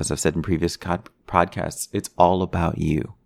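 A man's very deep, low voice with an American accent on a very clean recording with a silent background. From Chicago. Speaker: podcast host. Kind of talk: casual solo monologue. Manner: unscripted, hesitant with fillers.

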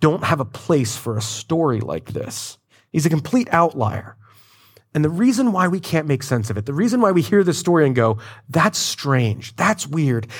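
A man with an American accent speaks at a moderate pace and fairly high pitch, somewhat breathy, with very wide pitch swings. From Florida. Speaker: pastor. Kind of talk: sermon.

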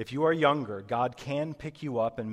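Over a quiet background, a man speaks at a moderate pace with ordinary pitch variation in an unremarkable speaking voice. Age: 30s. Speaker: pastor. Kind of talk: sermon. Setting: church.

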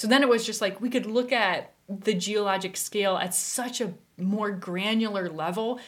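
A plain, everyday voice with an American accent speaks at a moderate pace with fairly even intonation. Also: woman. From US, western South Dakota. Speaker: science communicator. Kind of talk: casual interview chat.

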